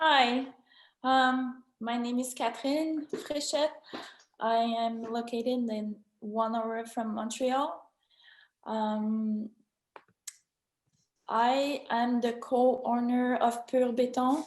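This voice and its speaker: A woman with a high pitch speaks at a very slow pace, leaving long, frequent pauses. Her intonation stays fairly even. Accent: French. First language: French. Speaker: business co-owner. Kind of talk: panel talk. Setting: video conference. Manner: halting.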